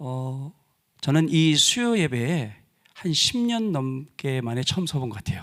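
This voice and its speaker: A man's medium-pitched voice is captured in a very clean recording, silent background. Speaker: pastor. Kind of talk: sermon. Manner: deliberately slowed down.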